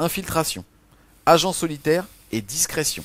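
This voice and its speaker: On a very clean recording with a silent background, a man with a fairly high pitch and vocal fry speaks at a fairly quick pace. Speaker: wargaming video co-host. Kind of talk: casual game rules review. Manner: fast; animated.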